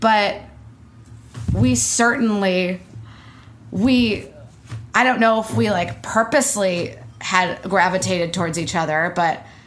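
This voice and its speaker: At a fairly slow pace with long, frequent pauses, a woman speaks at a medium pitch with vocal fry and very wide pitch swings. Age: 20s. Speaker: actor and comedian. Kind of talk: casual interview chat.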